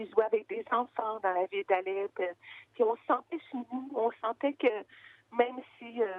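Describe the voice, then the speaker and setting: A woman with a Quebec accent talks in a fairly high pitch with ordinary pitch variation. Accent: Québécois French. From Quebec, Gaspésie roots. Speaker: founder of children's radio project. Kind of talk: interview. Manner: hesitant, many fillers.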